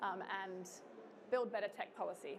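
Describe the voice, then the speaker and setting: Audible room echo surrounds a woman with an Australian accent speaking at a fairly quick pace. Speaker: think tank co-founder. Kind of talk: conference talk. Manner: casual, with many filler sounds.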